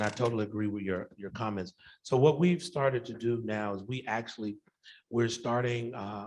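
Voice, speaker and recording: In an American accent, a man speaks at a moderate pace and a medium pitch. His is a plain, everyday voice with ordinary pitch variation. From US South, Macon Georgia. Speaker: professor and researcher. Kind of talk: Q&A after a conference talk.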